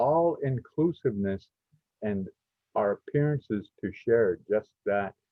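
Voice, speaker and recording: A man speaks with an ordinary speaking voice, a medium pitch, and ordinary pitch variation. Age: 60s. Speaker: podcast host, community college. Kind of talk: podcast discussion. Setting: live stream from a college.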